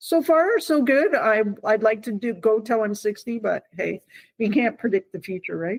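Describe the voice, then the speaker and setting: With lively intonation, a woman talks in a normal speaking voice at a moderate pace and a fairly high pitch. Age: 50s. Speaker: retired military police officer. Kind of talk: interview.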